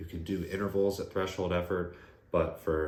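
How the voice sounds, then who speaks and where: With audible room echo, a man speaks at a moderate pace in a very deep, low pitch, somewhat breathy and with monotone, flat intonation. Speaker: running coach and physical therapist. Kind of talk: tutorial.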